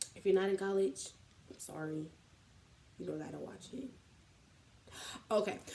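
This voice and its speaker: Speaking in an American accent, a woman with a medium pitch and a dark, mellow tone uses ordinary pitch variation, big swings in loudness and long, frequent pauses. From Columbus, Ohio. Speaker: college student vlogger. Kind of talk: casual vlog. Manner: fast.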